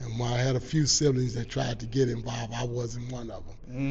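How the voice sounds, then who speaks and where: A man speaks at a moderate pace and medium pitch, in a monotone with flat intonation. Room echo is audible. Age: 60s. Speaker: youth sports organization founder. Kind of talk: interview.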